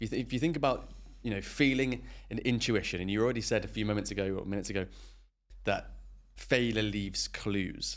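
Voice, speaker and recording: Vocal fry with ordinary pitch variation. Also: man. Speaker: podcast host. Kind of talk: casual interview.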